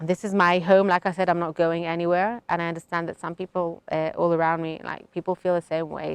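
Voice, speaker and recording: Over a quiet background, a woman with a fairly low pitch and a British accent is heard in a dry, close sound with no echo. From Israel. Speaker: settler interviewee. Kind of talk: interview answer.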